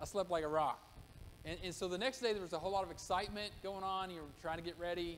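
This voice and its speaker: Over light background noise, a man speaks at a very fast pace with a high pitch and fairly even intonation. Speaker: pastor. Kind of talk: sermon. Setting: church. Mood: warm personal storytelling. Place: church. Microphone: podium.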